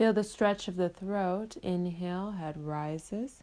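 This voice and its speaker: A woman with an ordinary speaking voice talks at a fairly slow pace with ordinary pitch variation. The recording is very clean, with a silent background. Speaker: meditation guide and life coach. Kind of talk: guided meditation. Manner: slow, soothing, calm, gentle and paced; warm, encouraging, counting breaths slowly.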